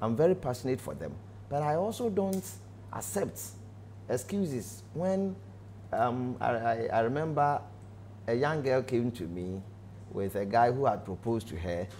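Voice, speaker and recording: A man with a dark, mellow tone speaks somewhat breathily at a moderate pace, with very wide pitch swings. Long, frequent pauses break up his speech, and there is light background noise. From Ghana, Ashanti region; Ghana. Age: 40s. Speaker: pastor. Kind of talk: testimony; interview answer, personal testimony. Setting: studio. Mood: earnest, emotional recollection. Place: studio. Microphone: lapel.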